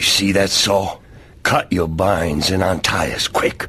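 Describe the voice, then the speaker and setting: In a put-on character voice, a man growls out raspy lines at a very deep, low pitch and a fairly slow pace, monotone and flat in intonation, with light background noise. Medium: video game. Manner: gruff, sardonic.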